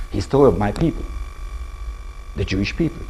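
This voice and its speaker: A man with an Israeli accent, with music in the background and audible room echo. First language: not English. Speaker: professor and author. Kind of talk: public lecture. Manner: halting.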